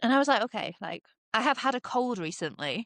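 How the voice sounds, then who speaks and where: In a British accent, a woman talks at a very fast pace with lively intonation, recorded with a dry, close sound and no echo. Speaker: podcast co-host. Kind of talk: casual chat.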